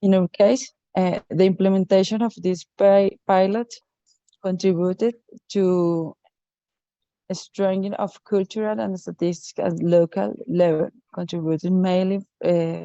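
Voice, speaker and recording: A woman with a Spanish accent, fairly even intonation and a fairly slow pace. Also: medium pitch for a woman. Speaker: local cultural policy expert. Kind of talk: prepared presentation. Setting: video call. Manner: halting.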